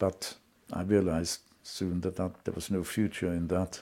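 The man speaks with a very deep, low pitch and a dark, mellow tone. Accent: slight German. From Germany. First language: German. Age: 80s+. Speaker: Holocaust survivor. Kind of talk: testimony. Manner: clear and logical; dignified, measured.

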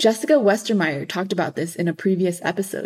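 An unremarkable speaking voice with an American accent, a fairly quick pace and ordinary pitch variation, on a very clean recording with a silent background. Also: woman. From Los Angeles. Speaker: podcast host, student. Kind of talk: scripted narration.

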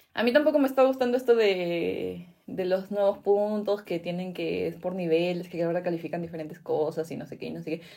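A plain, everyday voice at a fairly quick pace, with lively intonation, big swings in loudness and hardly any pauses. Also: woman, fairly low pitch for a woman. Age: 20s. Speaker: podcast co-host. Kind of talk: casual chat.

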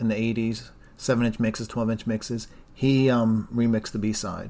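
A man talks at a moderate pace in a plain, everyday voice with medium pitch. The recording is very clean, with a silent background. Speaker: podcast host. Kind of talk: casual chat.

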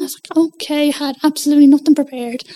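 In an Irish accent, a woman speaks at a very fast pace with monotone, flat intonation and a dark, mellow tone, the sound dry and close with no echo. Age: 20s. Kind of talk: interview.

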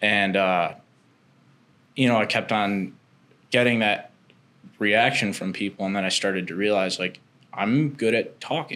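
A man speaks in a bright, sharp tone at a fairly low pitch, with ordinary pitch variation. His pace is fairly slow, broken by long, frequent pauses. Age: 20s. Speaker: podcast host. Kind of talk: casual chat.

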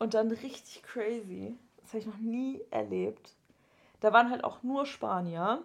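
A woman talks at a fairly slow pace with ordinary pitch variation. Hers is an ordinary speaking voice. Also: fairly high pitch for a woman. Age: 20s. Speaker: podcast co-host, university student. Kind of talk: casual chat.

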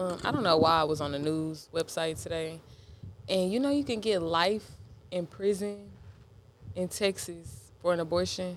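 Noticeable background noise sits behind this recording. A woman talks in a fairly low pitch. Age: 20s. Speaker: podcast co-host. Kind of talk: casual chat.

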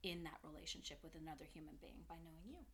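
A woman speaks with an American accent. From US West Coast, San Francisco Bay Area. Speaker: mother of the hosts. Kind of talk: casual chat.

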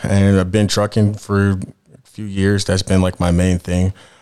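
A man's very deep, low voice in an American accent, monotone and flat. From Denver, Colorado. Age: 30s. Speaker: podcast co-host, music producer and truck driver. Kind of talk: casual chat.

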